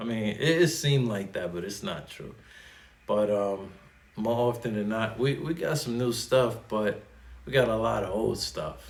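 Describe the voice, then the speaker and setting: With a slight New York accent, a man talks in a fairly low voice, and the room echo is audible. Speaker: Navy sailor and YouTuber. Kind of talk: unscripted casual explainer. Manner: casual, many fillers and repeats.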